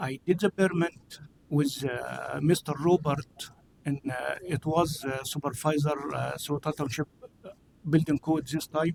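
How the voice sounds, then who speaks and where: A man speaks at a fairly high pitch and a fairly slow pace with fairly even intonation. The sound is dry and close, with no echo. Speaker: member of public giving comment. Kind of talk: public comment. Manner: halting.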